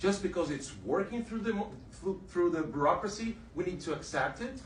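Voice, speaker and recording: A man with a Brazilian Portuguese accent speaks at a moderate pace in a high pitch with ordinary pitch variation. Noticeable background noise and audible room echo fill the recording. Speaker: exiled journalist. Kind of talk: testimony. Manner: halting.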